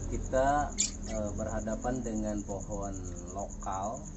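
A man speaks over loud background noise. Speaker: bonsai hobbyist channel host. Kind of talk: tutorial. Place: garden.

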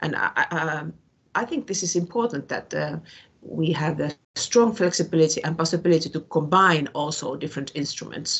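A woman with a Finnish accent speaks in a fairly low pitch. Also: ordinary pitch variation, moderate pace. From northern Finland, Tornio border area. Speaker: regional politician. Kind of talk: panel debate contribution.

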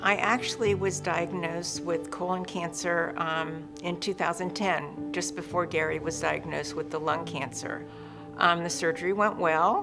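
A woman speaks at a moderate pace while clear music plays in the background. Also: ordinary pitch variation. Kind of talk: interview answer. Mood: somber, reflective. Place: studio.

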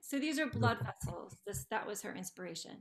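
Vocal fry runs through this woman's voice. She talks at a moderate pace. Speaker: ceramics teacher. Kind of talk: presentation. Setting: video call. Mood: warm, proud, chatty.

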